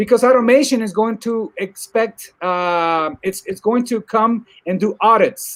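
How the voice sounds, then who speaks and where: The speaker has an animated tone and a Spanish accent. The pace is moderate. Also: man. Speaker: technology commentator. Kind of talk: casual discussion. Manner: animated, repetitive false starts.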